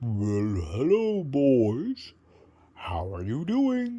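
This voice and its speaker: A man in a put-on character voice speaks very slowly at a medium pitch. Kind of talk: bedtime story. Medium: read story. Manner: warm, friendly, gentle.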